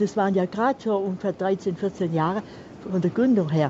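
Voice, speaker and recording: A woman talks at a moderate speed with ordinary pitch variation while noticeable background noise is present. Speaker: caller. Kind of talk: phone-in call. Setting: phone call.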